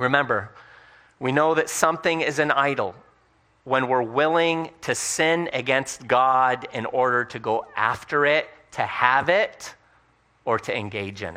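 An unremarkable speaking voice, fairly slow in delivery, its pitch shifting in a typical way. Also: man, medium pitch for a man. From United States (immigrant family, arrived age four). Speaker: guest preacher. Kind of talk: sermon. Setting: church conference with audience.

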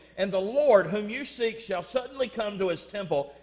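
Amid noticeable background noise, a man talks at a fairly quick pace in a high voice, with lively intonation and an animated tone. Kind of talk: sermon. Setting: church. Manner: animated, emphatic pulpit delivery, direct appeals to the congregation; call-and-response, rhythmic, exhorting tone.

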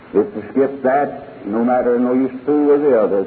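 Fairly slow speech from a man at a medium pitch, with ordinary pitch variation and noticeable background noise. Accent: American. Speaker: preacher. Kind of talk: sermon. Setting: church.

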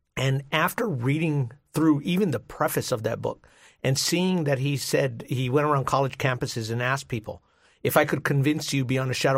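A somewhat breathy man's voice at medium pitch, with ordinary pitch variation. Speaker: pastor and speaker. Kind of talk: radio call-in interview.

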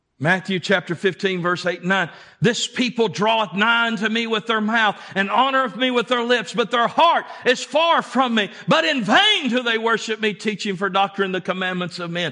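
A man with a high pitch speaks in a raised, projected voice at a moderate pace, with hardly any pauses. His pitch variation is ordinary. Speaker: preacher. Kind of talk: sermon. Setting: church. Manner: emphatic, preaching with urgent, pulpit-style delivery; call-and-response, pressing the congregation to answer.

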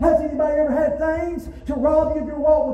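Over crowd noise in the background, the speaker uses an animated tone at a moderate pace. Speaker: preacher. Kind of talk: sermon. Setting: church with congregation. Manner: animated, call-and-response preaching, pausing for the congregation's amens; emphatic, repeating key words for punch.

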